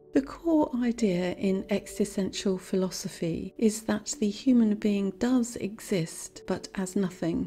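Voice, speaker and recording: Over music in the background, the speaker talks at a fairly slow pace with ordinary pitch variation. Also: woman. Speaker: psychologist. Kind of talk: educational lecture narration.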